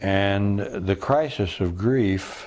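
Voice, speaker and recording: This man has a very deep, low pitch with ordinary pitch variation. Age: 80s+. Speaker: retreat founder and spiritual teacher. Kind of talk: interview conversation.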